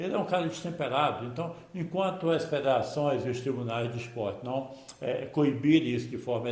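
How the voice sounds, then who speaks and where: A man talks at a fairly quick pace with a fairly high pitch and ordinary pitch variation. Audible room echo surrounds the voice. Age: 70s. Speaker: football commentator youtuber. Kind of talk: opinion monologue to camera.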